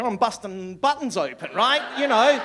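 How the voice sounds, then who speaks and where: A man with an Australian accent speaks at an extremely high pitch and a moderate pace, with noticeable background noise. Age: 60s. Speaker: stand-up comedian. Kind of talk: stand-up. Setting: stage with audience. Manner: animated.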